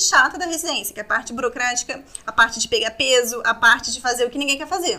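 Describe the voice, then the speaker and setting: A raised, projected voice, bright and sharp in tone, with ordinary pitch variation. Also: woman. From Vitória, Espírito Santo, Brazil. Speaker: oral surgery resident. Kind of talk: interview.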